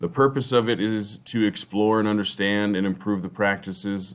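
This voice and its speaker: Fairly even intonation from a man, fairly low in pitch, at a moderate pace. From Colorado, US. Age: 30s. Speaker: teacher and football coach. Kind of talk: class presentation. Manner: halting, many fillers.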